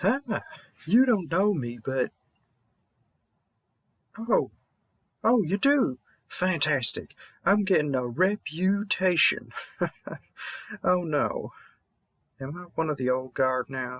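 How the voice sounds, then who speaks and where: Mumbling in a high put-on character voice, a man goes at a fairly slow pace with long, frequent pauses. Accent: Southern US. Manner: mumbling, reassuring.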